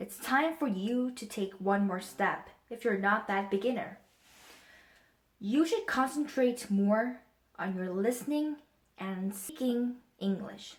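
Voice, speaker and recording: Very slow speech from a woman with a fairly high pitch and ordinary pitch variation. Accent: Korean. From Korea. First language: Korean. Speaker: English learner giving tips. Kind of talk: prepared presentation.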